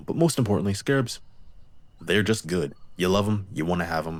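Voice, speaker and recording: A man speaks at a very fast pace. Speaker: gaming YouTuber. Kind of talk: gameplay voice-over commentary.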